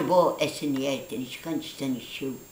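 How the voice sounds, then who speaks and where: Fairly slow speech from a woman amid noticeable background noise and audible room echo. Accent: Neapolitan. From Naples, southern Italy. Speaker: grandmother. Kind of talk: storytelling.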